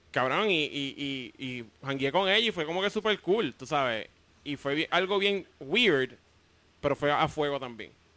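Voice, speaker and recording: In a very clean recording with a silent background, a man with a Puerto Rican accent speaks at a fairly slow pace. His tone is bright and sharp, and his intonation is lively. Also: fairly high pitch for a man. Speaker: comedian and web video creator. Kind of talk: casual chat.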